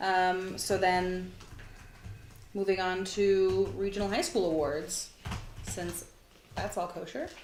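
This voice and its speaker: Amid audible room echo, a woman at a medium pitch speaks very slowly with fairly even intonation and long, frequent pauses. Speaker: commission chair. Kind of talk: committee meeting. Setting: meeting room, streamed live.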